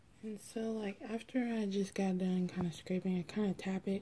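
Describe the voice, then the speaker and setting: Her medium-pitched voice is dark, mellow and somewhat breathy as this woman speaks at a moderate pace with monotone, flat intonation. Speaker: beauty vlogger. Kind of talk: makeup tutorial.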